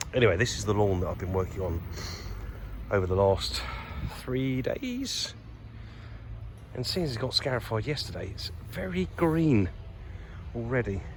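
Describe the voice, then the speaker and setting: A man mumbles at a moderate pace, with long, frequent pauses. Room echo can be heard. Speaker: lawn care business owner. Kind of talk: casual vlog tour. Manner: mumbling a bit; chatty, informal.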